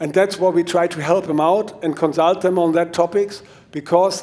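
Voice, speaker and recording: A man with a German accent speaks at a moderate pace in a high voice with a dark, mellow tone. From Germany. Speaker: mountain bike trail consultant. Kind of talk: conference talk. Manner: halting.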